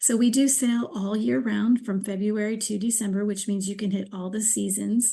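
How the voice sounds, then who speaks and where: A woman with a fairly high pitch speaks at a moderate pace. Her intonation stays fairly even, with hardly any pauses. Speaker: cruise line sales director. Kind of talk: sales presentation. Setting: screen-share video presentation. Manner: hesitant with fillers.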